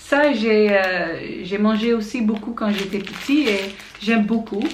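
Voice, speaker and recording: A woman's medium-pitched voice with a Dutch accent and ordinary pitch variation, plus audible room echo and noticeable background noise. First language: Dutch (speaking French). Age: 20s. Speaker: student vlogger. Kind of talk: vlog. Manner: halting, many fillers.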